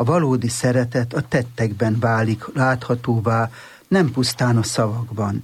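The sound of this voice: An unforced reading voice of fairly even intonation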